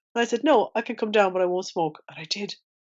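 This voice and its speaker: A woman with an Irish accent and a fairly high pitch talks at a very fast pace. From Ireland. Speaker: ex-smoker sharing her story. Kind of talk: interview testimony. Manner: animated.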